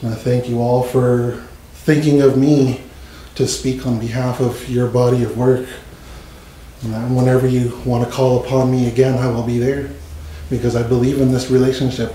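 Amid light background noise and audible room echo, a man talks at a moderate pace in a monotone, flat intonation. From Canada. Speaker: speaker. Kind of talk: testimony. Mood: grateful, heartfelt. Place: meeting room. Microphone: podium.

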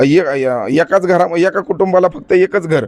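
A man talks with ordinary pitch variation. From Baramati, Maharashtra, India. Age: 30s. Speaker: local election candidate. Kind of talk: interview.

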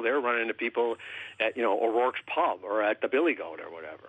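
Speaking at a very fast pace, a man rattles through his words. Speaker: guest. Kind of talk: interview answer.

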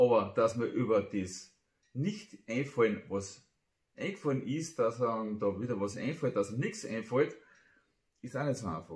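In a quiet setting, a man speaks at a moderate pace in a somewhat breathy voice with lively intonation and long, frequent pauses. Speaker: amateur poet. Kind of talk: casual talk to camera. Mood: playful, humorous. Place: home room. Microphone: phone near.

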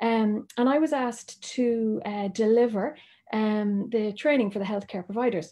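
With an Irish accent, a woman talks in a fairly high pitch and a dark, mellow tone. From Ireland. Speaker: doctor. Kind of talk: presentation.

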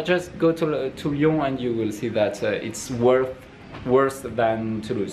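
A man talks at a very slow pace with ordinary pitch variation. Music plays in the background. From France. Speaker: student. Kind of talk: casual vlog talk to camera, in English. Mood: playful, mock complaining. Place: home room. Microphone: phone near.

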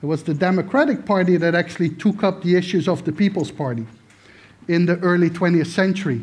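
A man speaks at a very fast pace in a high voice with ordinary pitch variation. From Netherlands. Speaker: political science professor. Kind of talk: lecture. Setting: stage with audience. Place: stage.

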